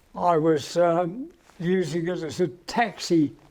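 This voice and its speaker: This man speaks with an Australian accent in a high pitch. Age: 80s+. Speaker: interviewee, retired businessman. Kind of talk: casual interview. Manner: halting.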